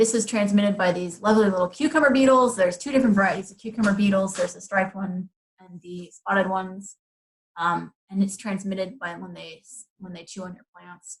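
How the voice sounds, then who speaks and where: A woman's medium-pitched, somewhat breathy voice at a fairly quick pace, with ordinary pitch variation and big swings in loudness. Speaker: garden educator. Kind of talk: webinar presentation. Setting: online webinar. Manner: fast; hesitant with fillers.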